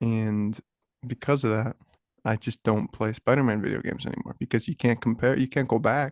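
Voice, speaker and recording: A man with a normal speaking voice talks at a fairly quick pace in a medium pitch, his intonation fairly even and the sound dry and close with no echo. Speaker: podcast co-host. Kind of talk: casual chat.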